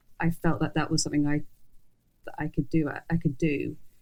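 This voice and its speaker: A woman with an English accent, fairly low in pitch, at a very fast pace. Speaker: journalist and fashion editor. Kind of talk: interview conversation. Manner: mumbling; halting.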